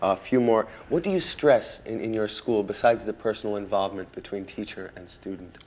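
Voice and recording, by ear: A man speaks at a fairly low pitch with a slightly mellow tone. His pitch varies in an ordinary way. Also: fairly quick pace.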